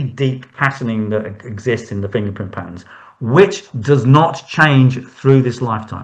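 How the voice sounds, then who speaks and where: A man's somewhat breathy, medium-pitched voice with ordinary pitch variation. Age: 60s. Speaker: hand reader. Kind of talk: interview.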